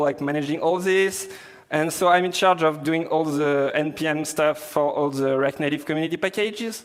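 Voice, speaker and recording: A man with a strong French accent speaks at a moderate pace in a fairly high pitch with fairly even intonation. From France. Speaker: software developer, conference speaker. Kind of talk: tech conference talk. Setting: stage with audience. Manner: hesitant, many fillers.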